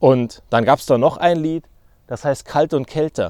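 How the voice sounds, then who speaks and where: A man's dark, mellow voice, fairly high in pitch, with a dry, close sound and no echo. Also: very clean recording, silent background. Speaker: podcaster. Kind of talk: solo podcast monologue.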